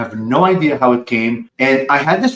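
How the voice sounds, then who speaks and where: The man's pitch is fairly high, and he keeps a moderate pace. His intonation is lively and his tone animated. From Lebanon, moved to US at fifteen. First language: Arabic and French. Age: 40s. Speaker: spiritual channeler. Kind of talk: podcast interview.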